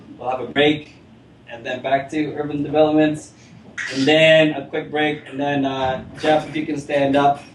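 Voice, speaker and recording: The speaker has an American accent and a moderate pace. Noticeable background noise runs underneath. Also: man. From Rochester, New York, US. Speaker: meetup organizer. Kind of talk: event introduction to audience. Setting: meetup room with live audience. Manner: casual, many filler words.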